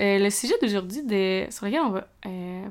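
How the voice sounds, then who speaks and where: A woman speaks in a Quebec accent at a moderate pace, her pitch medium with ordinary variation. The recording is very clean, with a silent background. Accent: Québécois French. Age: 20s. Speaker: student podcaster. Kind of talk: casual solo podcast talk. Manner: hesitant, many fillers.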